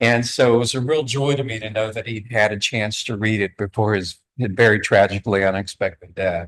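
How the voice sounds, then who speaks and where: A man with a slight Southeast Virginia accent speaks with hardly any pauses. His pitch is fairly low and his intonation fairly even. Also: fairly quick pace. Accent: slight Southeast Virginia twang. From US South, southeast Virginia (Newport News). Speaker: author and discussion facilitator. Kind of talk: welcome speech to a live audience.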